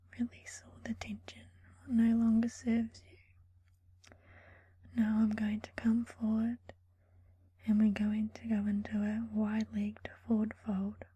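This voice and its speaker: Soft-spoken delivery at a fairly slow pace, broken by long, frequent pauses. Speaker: ASMR creator. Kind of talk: guided yoga session.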